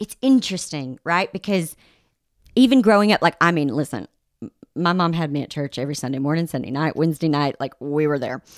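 A woman speaks at a fairly quick pace in a very deep, low voice with a Southern US accent. The recording is very clean, with a silent background. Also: dry, close sound with no echo. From Arkansas, US South. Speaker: podcast guest. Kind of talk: casual chat.

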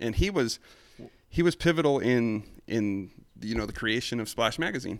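This man has a medium pitch and an American accent, with lively intonation. He talks at a moderate pace with long, frequent pauses. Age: 30s. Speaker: car enthusiast guest.

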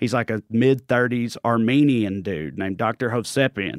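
A man with a Tennessee accent speaks at a medium pitch and moderate pace, with ordinary pitch variation. The recording is very clean, with a silent background and a dry, close sound with no echo. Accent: Southern US, Tennessee. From Clay County, Tennessee. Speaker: comedian. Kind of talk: casual chat.

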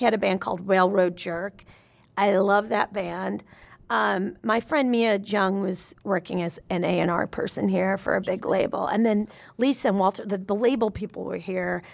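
The voice carries vocal fry and ordinary pitch variation at a moderate pace. The recording is very clean, with a silent background. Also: woman, medium pitch for a woman. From US South, Nashville, Tennessee. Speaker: musician and comedian. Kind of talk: casual chat.

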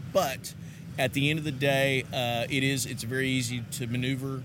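Amid audible room echo, a man speaks with monotone, flat intonation. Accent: Texan. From Texas, US. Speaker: charcoal company representative. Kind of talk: casual interview. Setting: conference venue.

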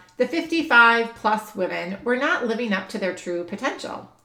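Fairly high in pitch, a woman talks at a moderate pace with lively intonation. Hers is an unremarkable speaking voice. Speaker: podcast host. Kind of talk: podcast intro and interview conversation.

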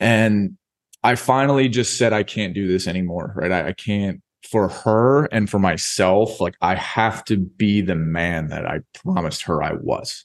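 Against a quiet background, a man speaks slowly-ish in a plain, everyday voice, his pitch fairly low with ordinary pitch variation. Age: 30s. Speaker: entrepreneur and coach, podcast guest. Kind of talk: casual interview chat.

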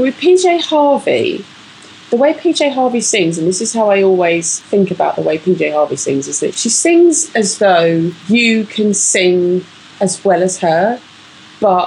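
A woman speaks at a fairly slow pace in a medium pitch, her voice swinging very widely up and down over noticeable background noise. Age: 40s. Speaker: music podcast co-host. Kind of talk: casual chat. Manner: animated.

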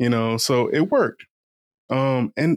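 A man with an American accent and ordinary pitch variation is heard on a very clean recording with a silent background and a dry, close sound with no echo. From Eastern Shore of Virginia, US. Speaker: professional oyster shucker and podcaster, Army veteran. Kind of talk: casual interview.

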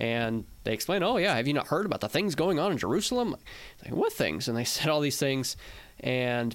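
In a very clean recording with a silent background, a man with an unremarkable speaking voice and medium pitch talks at a fairly quick pace. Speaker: podcast co-host. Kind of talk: casual theological discussion.

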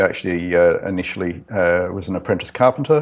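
Recorded very cleanly against a silent background, a man with an Australian accent talks at a fairly quick pace and a fairly low pitch. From Australia, Adelaide. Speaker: construction project manager. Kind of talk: casual interview. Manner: halting, many fillers.

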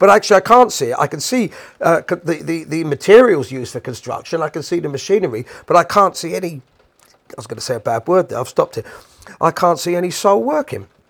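A man with a London accent speaks very fast in a high pitch, with very wide pitch swings and big swings in loudness. The sound is dry and close, with no echo. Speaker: podcast host and musician. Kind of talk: casual monologue rant. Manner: animated.

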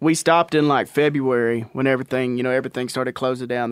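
A man at a fairly quick pace, medium in pitch with ordinary pitch variation, on a very clean recording with a silent background. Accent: East Texas. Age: 30s. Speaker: country rock musician. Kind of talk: casual chat.

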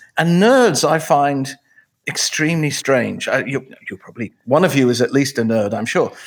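With a British accent, a man speaks at a moderate pace in a fairly high pitch with lively intonation. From England. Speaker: author and emcee. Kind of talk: casual interview conversation. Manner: humorous, wry.

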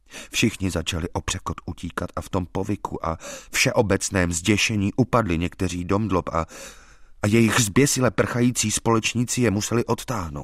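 A man with a plain, everyday voice speaks at a fairly low pitch and moderate pace, with ordinary pitch variation in a dry, close sound with no echo. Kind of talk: audiobook reading of a gothic horror story, first-person narration. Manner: formal, literary, solemn and grave.

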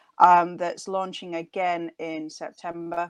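A woman with a northern accent talks at a fairly slow pace. The background is quiet, and the sound is dry and close with no echo. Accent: northern, stronger than Nottingham. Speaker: doctor, strength training expert. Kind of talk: interview. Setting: video call.

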